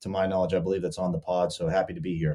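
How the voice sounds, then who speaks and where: A man speaks with a Pittsburgh accent. His tone is dark and mellow. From western Pennsylvania, near Pittsburgh. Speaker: sports betting content creator. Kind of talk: podcast interview. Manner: animated, casual.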